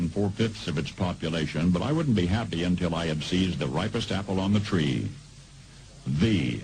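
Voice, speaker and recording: A man speaks at a fairly quick pace with lively intonation and a dramatic tone. Noticeable background noise sits behind him. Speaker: radio broadcaster. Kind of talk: radio commentary. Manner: dramatic, measured delivery.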